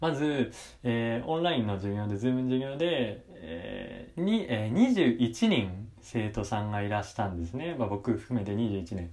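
A man talks at a fairly slow pace with hardly any pauses. His medium-pitched voice has lively intonation, and the room echo is audible. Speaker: university student podcaster. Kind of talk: casual monologue. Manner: hesitant with many fillers.

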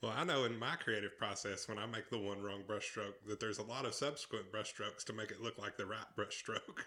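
With hardly any pauses, a man talks at a fairly quick pace in an ordinary speaking voice, fairly low-pitched and with fairly even intonation. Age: 30s. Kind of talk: casual chat. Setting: recorded on the move around town.

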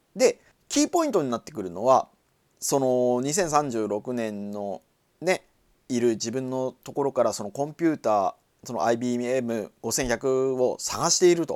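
A man talks at a fairly slow pace in a normal speaking voice of medium pitch, his loudness swinging widely in a dry, close recording with no echo. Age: 40s. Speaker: podcast host. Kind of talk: solo casual talk.

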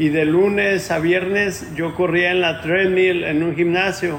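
A man speaks in a monotone, flat intonation at a high pitch, with audible room echo around him. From Mexico, Ciudad Guzmán, Jalisco. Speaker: ultramarathon runner. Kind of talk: interview.

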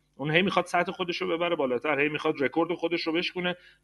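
This is a man's voice. His pitch sits fairly high. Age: 40s. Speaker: business development manager. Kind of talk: interview.

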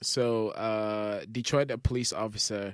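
In a plain, everyday voice, a man speaks at a fairly low pitch and fairly slow pace with fairly even intonation, in a very clean recording with a silent background. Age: 30s. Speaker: podcast co-host. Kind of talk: casual chat. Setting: studio.

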